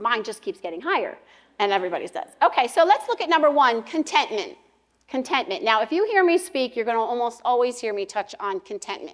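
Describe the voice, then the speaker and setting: A loud, high-pitched woman's voice with very wide pitch swings. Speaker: pastor's wife and women's speaker. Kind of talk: women's conference talk. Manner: fast, nonstop talker.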